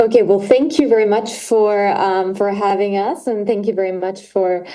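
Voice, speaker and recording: A woman speaks at a medium pitch with a dark, mellow tone and ordinary pitch variation. Her pace is moderate, and the room echo is audible. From Australia. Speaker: climate consultant. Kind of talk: presentation.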